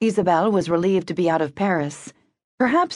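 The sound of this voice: An unforced reading voice shows ordinary pitch variation, with a quiet background behind it.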